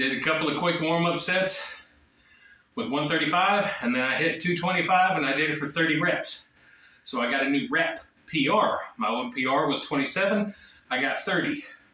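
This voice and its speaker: Audible room echo surrounds a man speaking at a moderate pace, his voice high-pitched with ordinary pitch variation. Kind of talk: casual vlog chat. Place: gym. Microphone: camera far.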